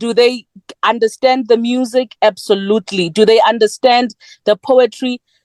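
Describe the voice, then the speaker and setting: A woman speaks with a South African accent. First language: Sepedi. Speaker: poet. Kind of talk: panel discussion.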